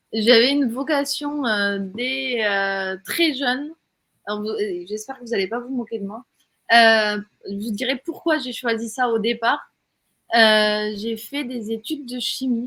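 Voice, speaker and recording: Very slowly, a woman with a slight southern French accent speaks in a fairly high pitch, her tone bright and sharp and her pitch variation ordinary. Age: 40s. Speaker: entrepreneur, platform co-founder. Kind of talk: interview.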